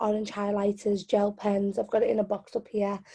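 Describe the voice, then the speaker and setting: With a Liverpool accent, this woman has a fairly high pitch and a dark, mellow tone. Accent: Scouse. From Liverpool, England (born in Yemen). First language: Arabic. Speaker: spoken word poet and activist. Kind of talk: interview. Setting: video call.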